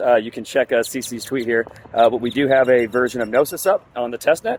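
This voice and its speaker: Noticeable background noise sits behind a man speaking at a fairly quick pace in a dry, close sound with no echo. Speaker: crypto project growth lead, news presenter. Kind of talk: casual news update video. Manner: casual, many filler words.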